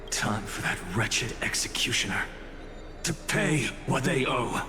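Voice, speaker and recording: Over loud background noise, a man does a put-on character voice at a medium pitch and a moderate pace. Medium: fan dub. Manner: wry, measured.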